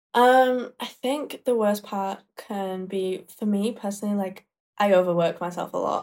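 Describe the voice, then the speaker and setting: The speaker has a Yorkshire accent and ordinary pitch variation. Delivery is at a fairly slow pace. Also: woman, medium pitch for a woman. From northern England (Leeds, Yorkshire). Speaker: makeup artist and social media creator. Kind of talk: casual chat.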